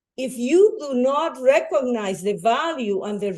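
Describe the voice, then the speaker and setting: A woman's high voice in a Spanish accent, dark and mellow in tone, with very wide pitch swings. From Bolivia. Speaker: educator and nonprofit founder. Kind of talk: public talk.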